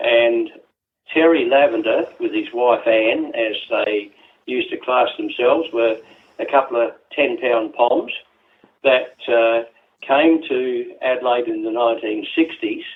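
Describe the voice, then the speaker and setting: Talking fairly slowly, a man speaks in an Australian accent. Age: 80s+. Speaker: trail volunteer. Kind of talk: interview. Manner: halting, many fillers.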